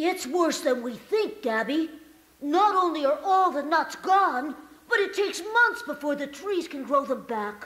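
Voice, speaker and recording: A put-on character voice at a high pitch. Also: moderate pace. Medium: read story. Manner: earnest.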